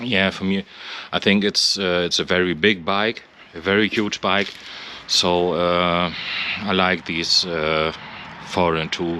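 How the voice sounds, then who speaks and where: Someone with a non-native accent speaks very slowly in a monotone, flat voice with long, frequent pauses, the sound dry with no echo and light background noise. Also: man, very deep, low pitch for a man. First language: not English. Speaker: motorcycle owner. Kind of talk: casual walkaround commentary. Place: street. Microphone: phone near.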